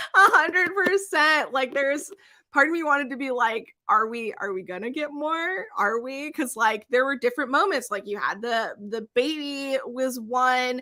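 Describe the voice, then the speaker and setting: With hardly any pauses, a woman speaks at a moderate pace in a raised, projected voice, her tone bright and sharp, her pitch high and her intonation lively, all in a very clean recording with a silent background. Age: 30s. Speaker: book reviewer. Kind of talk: live stream book discussion. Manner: halting.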